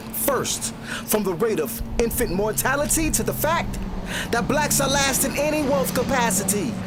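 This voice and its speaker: With music in the background, a man speaks at a moderate pace and high pitch, his intonation lively and his loudness very even. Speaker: spoken word poet. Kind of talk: spoken word poetry performance.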